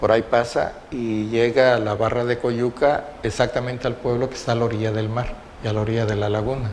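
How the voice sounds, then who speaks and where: Against noticeable background noise, a man talks at a fairly quick pace in a monotone, flat intonation at a medium pitch. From Mexico, Acapulco, Guerrero. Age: 70s. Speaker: oral history witness. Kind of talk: oral history interview testimony. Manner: halting, with fillers and repetitions.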